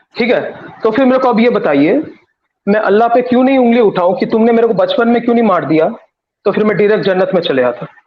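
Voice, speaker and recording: A Bengali accent with ordinary pitch variation. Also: man, high pitch for a man, very even loudness. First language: Bengali (speaking Hindi). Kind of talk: religious debate.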